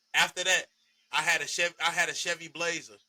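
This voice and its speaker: Loud, fairly quick delivery with a bright, sharp tone and monotone, flat intonation. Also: man. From Chicago area, Illinois. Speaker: podcast host. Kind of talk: casual chat.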